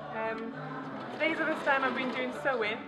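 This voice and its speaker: Over loud background music, a woman speaks at a moderate pace. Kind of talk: interview answer. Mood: cheerful. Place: church.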